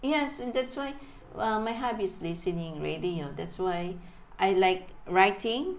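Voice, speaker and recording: A woman talks at a medium pitch, her voice carrying audible room echo over noticeable background noise. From Philippines, Manila. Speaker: interviewee. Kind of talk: casual chat. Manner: halting.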